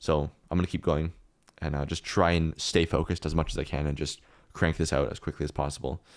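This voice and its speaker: At a very fast pace, a man speaks in a very deep, low voice with vocal fry and a monotone, flat intonation. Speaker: 3D artist. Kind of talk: tutorial. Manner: casual with fillers and restarts.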